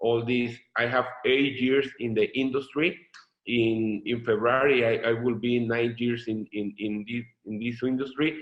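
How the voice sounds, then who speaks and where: A man with a Mexican accent speaks at a fairly slow pace, his medium pitch held in a flat, monotone delivery. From Mexico. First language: Spanish. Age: 30s. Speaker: network marketing leader. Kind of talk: testimony. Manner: halting, many repetitions.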